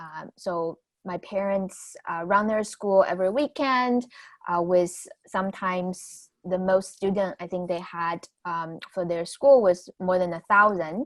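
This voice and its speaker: A woman speaks with a Chinese accent at a medium pitch and a fairly slow pace. Her loudness rises and falls in big swings. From southwest China, Guizhou, Guiyang. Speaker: new media artist and educator. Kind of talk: artist talk. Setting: virtual event video call. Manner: halting, many fillers.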